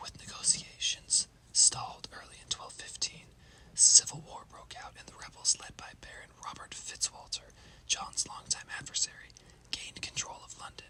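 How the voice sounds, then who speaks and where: Whispered speech sits over noticeable background noise. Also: moderate pace. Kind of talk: ASMR history narration.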